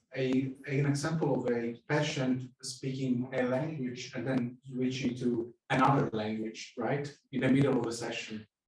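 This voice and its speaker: Speaking in an Italian accent, a man keeps a medium pitch and monotone, flat intonation, going at a fairly slow pace with hardly any pauses. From Italy. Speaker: psychoanalyst, audience member. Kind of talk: audience question at a lecture. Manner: halting, many fillers.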